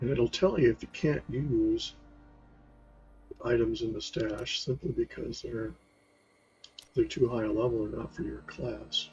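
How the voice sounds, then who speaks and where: Music plays in the background as a soft-spoken man talks at a fairly slow pace with long, frequent pauses. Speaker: gaming youtuber. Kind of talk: gameplay commentary.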